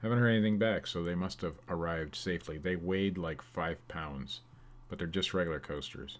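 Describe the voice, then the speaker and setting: In a very clean recording with a silent background, a man with an American accent speaks at a fairly quick pace in a very deep, low voice with ordinary pitch variation. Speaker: eBay reseller. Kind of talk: live stream sales update. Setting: live stream. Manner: loud; casual.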